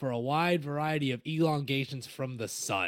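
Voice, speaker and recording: This man speaks at a moderate pace in a fairly high pitch for a man, with a dry, close sound and no echo. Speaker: podcast co-host, musician and music teacher. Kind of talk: casual chat; reading notes aloud. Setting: online call over Discord.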